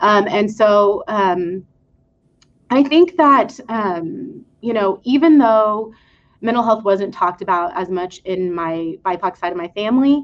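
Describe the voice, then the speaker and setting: A woman's medium-pitched voice at a fairly slow pace, with lively intonation, over a quiet background. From West Texas. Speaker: clinical psychologist. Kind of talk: panel discussion. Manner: hesitant, many fillers.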